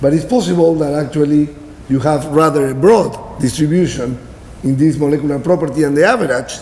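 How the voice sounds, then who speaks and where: Fairly high for a man, this voice with a Spanish accent runs at a fairly quick pace with ordinary pitch variation, joined by audible room echo and noticeable background noise. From Peru. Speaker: professor. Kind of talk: lecture.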